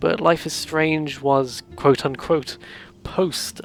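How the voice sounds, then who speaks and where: The speech moves at a very slow pace, with music playing in the background. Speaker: video series host talking about games. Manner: hesitant, rambling with many fillers.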